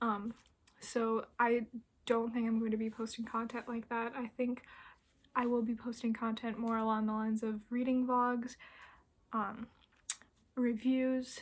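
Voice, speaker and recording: A soft-spoken woman talks at a fairly high pitch with monotone, flat intonation. Her speech has long, frequent pauses. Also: fairly slow pace. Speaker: book vlogger. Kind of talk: casual vlog monologue.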